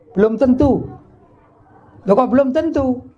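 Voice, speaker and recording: The speaker is a man with lively intonation. He keeps a moderate pace. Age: 50s. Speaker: Islamic cleric. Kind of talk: sermon. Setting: religious gathering with audience. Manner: conversational, asks audience questions.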